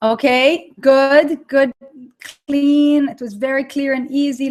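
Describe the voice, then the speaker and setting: A woman's high-pitched voice with an Israeli accent. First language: Hebrew. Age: 30s. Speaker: online course creator. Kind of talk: live webinar with audience chat. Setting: live online broadcast. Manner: animated.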